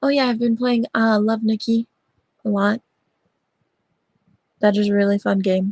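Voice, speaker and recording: The sound is dry and close with no echo, and the voice comes across somewhat breathy. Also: woman. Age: 20s. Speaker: livestreamer. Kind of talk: casual livestream chat. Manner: halting, many fillers.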